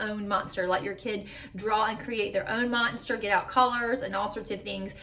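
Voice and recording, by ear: Someone reads aloud in a natural voice.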